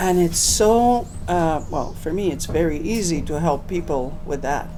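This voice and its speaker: Amid noticeable background noise and audible room echo, a woman with a fairly low pitch speaks at a fairly slow pace with lively intonation. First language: French. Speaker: product distributor. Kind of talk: interview.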